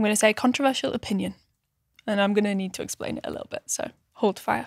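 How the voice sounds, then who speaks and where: Delivered at a very fast pace with big swings in loudness, the speech has a northern English accent and a dry, close sound with no echo. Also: woman. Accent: British, northern. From northern England. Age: 20s. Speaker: podcast co-host. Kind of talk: casual chat.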